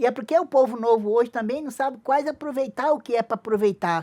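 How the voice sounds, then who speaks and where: On a very clean recording with a silent background, a woman with a high pitch speaks at a moderate pace with lively intonation. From Brazil, Acre (Tarauacá, Amazon rubber-tapper family). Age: 60s. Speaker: traditional singer-songwriter. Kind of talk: interview. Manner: halting.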